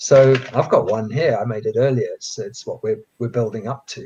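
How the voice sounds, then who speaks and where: A somewhat breathy man's voice at a medium pitch. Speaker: coding educator. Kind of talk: tutorial. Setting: live stream.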